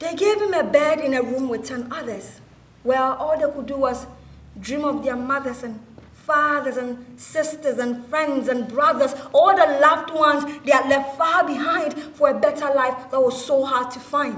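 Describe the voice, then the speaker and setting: A woman speaks with a high pitch and fairly even intonation, though her loudness swings widely. Noticeable background noise is present. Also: moderate pace. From Ghana. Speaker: actress, spoken word performer. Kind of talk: spoken word theatre performance.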